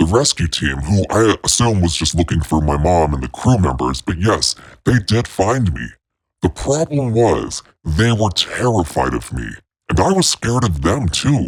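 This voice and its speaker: A man puts on a character voice pitched very deep and low, with very wide swings in pitch. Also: moderate pace. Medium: solo performance. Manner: warm, chatty.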